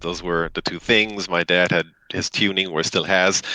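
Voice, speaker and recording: With a German accent, a man speaks at a moderate pace in a very deep, low voice with a bright, sharp tone, the sound dry and close with no echo. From Germany. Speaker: company CEO. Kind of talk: interview.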